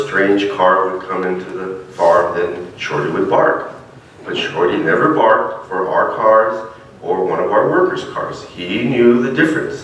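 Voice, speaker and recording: Audible room echo and light background noise surround a man speaking at a fairly slow pace. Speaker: minister. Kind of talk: sermon. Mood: warm personal storytelling. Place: church. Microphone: podium.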